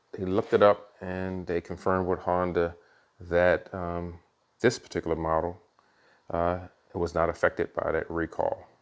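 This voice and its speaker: A man speaks in a very deep, low pitch with monotone, flat intonation and long, frequent pauses. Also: moderate pace. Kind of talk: casual vlog chat. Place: garage. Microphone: phone near.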